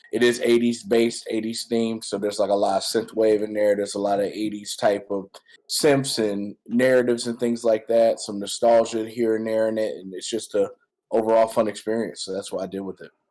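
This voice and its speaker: Speaking with an American accent, a man talks at a fairly quick pace and a medium pitch. His intonation is monotone and flat, while his loudness swings widely. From US Midwest, Detroit, Michigan. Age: 30s. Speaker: rapper and music producer. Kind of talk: casual interview.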